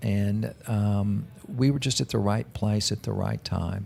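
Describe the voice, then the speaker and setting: A man in a Texan accent, fairly low-pitched and fairly slow, with fairly even intonation on a very clean recording, silent background. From Texas, Dallas. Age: 60s. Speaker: businessman. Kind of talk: interview.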